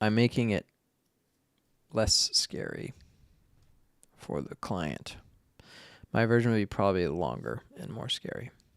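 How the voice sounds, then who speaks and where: With an American accent and vocal fry, a man speaks at a fairly slow pace and fairly low pitch in an animated tone, with lively intonation, big swings in loudness, and long, frequent pauses, in a dry, close sound with no echo. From US Northeast, Boston. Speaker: filmmaker and photographer. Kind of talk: live-stream editing tutorial. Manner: casual, animated.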